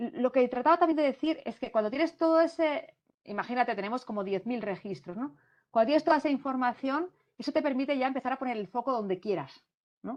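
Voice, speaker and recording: A woman speaks very fast in a high pitch, her intonation lively. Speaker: international cooperation consultant. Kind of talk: Q&A answer in a virtual talk. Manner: hesitant, many fillers.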